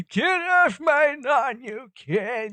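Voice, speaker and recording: A high-pitched, put-on character voice. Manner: grumpy, cranky.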